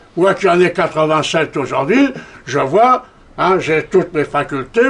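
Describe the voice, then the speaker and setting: Against noticeable background noise, a man speaks fairly slowly with a high pitch and lively intonation. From France. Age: 80s+. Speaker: war veteran and political speaker. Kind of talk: lecture. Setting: stage with audience. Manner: animated, with frequent repetitions.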